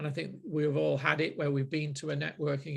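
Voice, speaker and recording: A man talks very fast in a Manchester accent. The background is quiet. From Manchester, northern England. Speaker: marketing group host. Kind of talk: group discussion. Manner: hesitant, many fillers and repeats.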